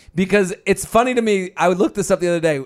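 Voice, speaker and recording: A loud, animated man's voice on a very clean recording with a silent background. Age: 30s. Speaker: podcast co-host. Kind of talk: casual chat.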